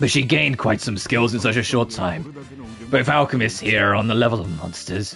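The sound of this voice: Over clear music in the background, a man puts on a gravelly character voice at a medium pitch and a fairly quick pace.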